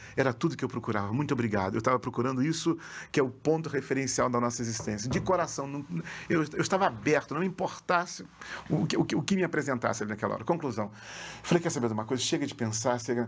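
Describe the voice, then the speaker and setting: Speaking very fast with lively intonation, a man keeps to a medium pitch. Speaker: pastor. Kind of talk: testimony. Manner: animated.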